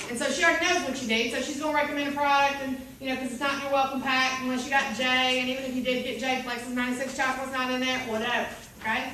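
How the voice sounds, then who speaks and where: A woman's high, raised and projected voice with an American accent, animated in tone and very fast, with audible room echo and noticeable background noise. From US South (Bible Belt). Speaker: direct sales team leader. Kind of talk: training seminar.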